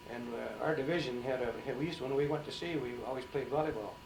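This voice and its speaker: A man with an Upper Midwest accent talks very fast at a fairly high pitch with ordinary pitch variation, over noticeable background noise. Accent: Upper Midwest American. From St. Cloud, Minnesota. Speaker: Navy veteran, Pearl Harbor survivor. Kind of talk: oral history interview answer.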